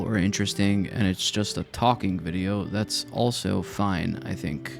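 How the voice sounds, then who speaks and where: Soft-spoken and relaxed in tone, a man talks at a fairly slow pace in a fairly low pitch while music plays in the background. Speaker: Minecraft let's play content creator. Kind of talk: casual talk to camera, gameplay commentary. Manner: soft-spoken, relaxed, unhurried.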